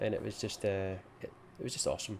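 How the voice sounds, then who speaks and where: A man speaks with a Scottish accent. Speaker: gaming youtuber. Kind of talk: video game review.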